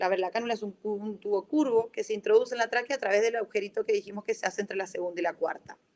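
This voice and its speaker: A woman talks at a very fast pace. Her pitch is fairly high, and she has an Argentine accent. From Argentina. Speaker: respiratory physiotherapist. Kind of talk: lecture. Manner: halting, many self-corrections.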